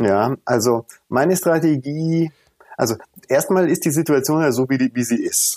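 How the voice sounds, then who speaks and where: A man speaks in a dark, mellow tone. His pitch sits fairly high. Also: ordinary pitch variation, moderate pace, very even loudness, dry, close sound with no echo. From Tanzania until 12, then Munich. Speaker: founder of a children's charity, former jazz trumpeter. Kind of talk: interview.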